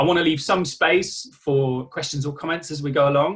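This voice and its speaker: With an East Midlands accent, a man speaks at a fairly high pitch in a bright, sharp tone with ordinary pitch variation. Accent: East Midlands English (Nottinghamshire). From England, Nottinghamshire. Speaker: coach and therapist. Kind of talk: online workshop presentation. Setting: video call. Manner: casual, conversational.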